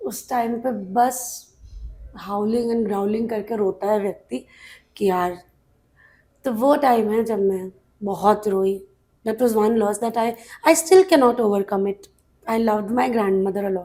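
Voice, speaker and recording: With long, frequent pauses, a woman speaks in a fairly high-pitched voice with a dark, mellow tone and ordinary pitch variation. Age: 30s. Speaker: actress. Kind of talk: interview answer.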